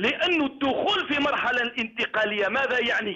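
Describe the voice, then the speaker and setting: Using lively intonation, a man with an Algerian accent speaks at an extremely high pitch. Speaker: lawyer and human rights activist. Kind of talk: political talk show debate.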